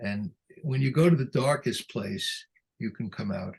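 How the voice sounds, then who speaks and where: Somewhat breathy, a man talks at a moderate pace with lively intonation. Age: 80s+. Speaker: psychotherapist and author. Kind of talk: interview. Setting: video call.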